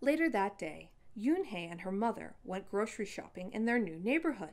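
A reading voice that sounds natural

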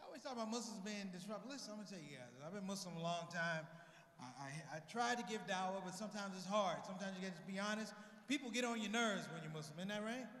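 The speech comes at a very fast pace with ordinary pitch variation. Light background noise and audible room echo are present. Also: man, high pitch for a man. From United States. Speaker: stand-up comedian. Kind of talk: stand-up comedy to a live audience. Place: hall. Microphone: handheld.

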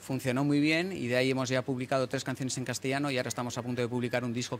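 A man speaks over light background noise. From Getxo area, Basque Country, Spain (English parents); Basque Country, Spain. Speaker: singer and songwriter in a band. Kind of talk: interview. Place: waterside. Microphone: handheld.

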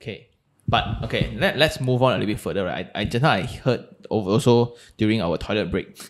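Against a quiet background, a man with a Malaysian accent talks at a fairly quick pace. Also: ordinary pitch variation. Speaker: podcast host. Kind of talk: casual interview. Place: studio. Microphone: studio mic.

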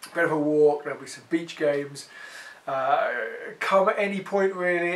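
With fairly even intonation, a man delivers his words at moderate speed. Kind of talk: announcement update to congregation. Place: home room.

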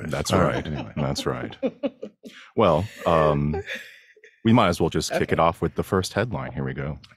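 A man with very deep, low pitch and vocal fry uses lively intonation and long, frequent pauses, in a dry sound with no echo. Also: moderate pace. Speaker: tech show producer, guest segment host. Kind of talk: casual podcast banter, reading headlines. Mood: playful, relaxed. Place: home room. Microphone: studio mic.

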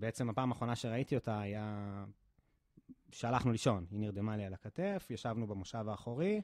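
A man speaks with a fairly low pitch and fairly even intonation. His pace is moderate, and the background is quiet. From Israel, central (near Kfar Saba); Israel. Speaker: physiotherapist; podcast guest. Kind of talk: interview testimony. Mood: emotional recollection of tragedy. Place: gym. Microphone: studio mic.

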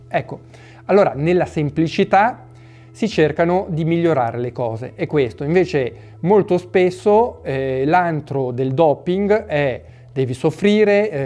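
The speech moves at a fairly slow pace. Faint music plays in the background. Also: man. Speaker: fitness channel host. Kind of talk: opinion talk to camera. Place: home room.

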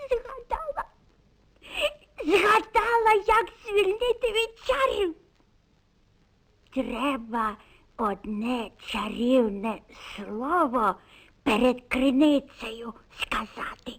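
In a cartoonish character voice that sounds female, the speaker uses a high pitch with very wide pitch swings, a very slow pace and long, frequent pauses. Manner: grumbling, fussy.

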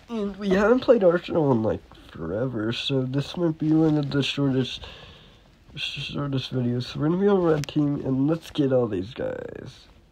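Lively intonation and a fairly high pitch mark this man's moderate-paced speech, with noticeable background noise behind him. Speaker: gaming youtuber. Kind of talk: gameplay commentary.

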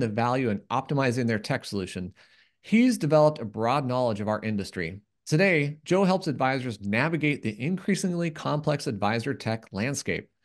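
The setting is silent behind him. A man's pitch leaps very widely as he moves along fairly briskly. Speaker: podcast host. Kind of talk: podcast intro and ad read. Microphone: studio mic.

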